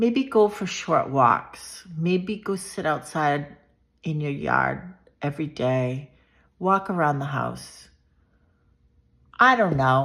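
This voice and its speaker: Speaking with an American accent, a woman uses a very deep, low pitch and lively intonation at a very slow pace with long, frequent pauses. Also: very clean recording, silent background. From Massachusetts, south of Boston. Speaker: vlogger sharing personal health story. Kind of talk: personal storytelling monologue. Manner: loud.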